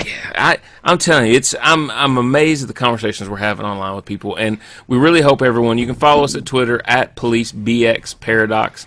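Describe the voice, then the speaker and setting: Racing at a very fast pace, a man with a rural American accent speaks at medium pitch with a bright, sharp tone and ordinary pitch variation. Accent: rural American, country. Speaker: podcast host. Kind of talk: casual chat. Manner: animated.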